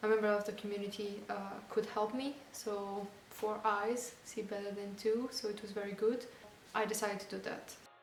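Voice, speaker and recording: A woman with a non-native accent speaks at a moderate pace, her fairly high pitch delivered in monotone, flat intonation, with audible room echo and music in the background. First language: not English. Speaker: van-life vlogger. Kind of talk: casual vlog talk to camera. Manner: halting, many fillers.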